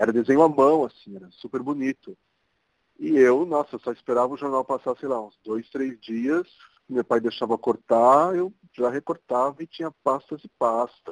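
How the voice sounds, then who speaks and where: With a São Paulo accent, a man speaks at a moderate pace and medium pitch, his pitch variation ordinary and his loudness swinging widely, in a dry, close sound with no echo. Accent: Paulistano Brazilian Portuguese. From São Paulo, Brazil (Zona Norte). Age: 40s. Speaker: architect. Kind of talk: interview.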